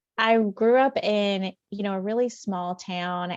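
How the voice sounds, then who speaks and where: A woman speaks with a Southern accent at a medium pitch. The sound is dry and close with no echo, over a quiet background. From US South, rural West Tennessee. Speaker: pharmacist and author. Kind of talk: interview.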